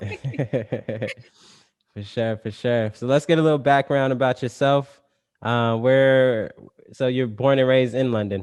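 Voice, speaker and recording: At a fairly slow pace, a man with an unremarkable speaking voice talks at a medium pitch with fairly even intonation. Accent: American. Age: 30s. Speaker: podcast host. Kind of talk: casual chat.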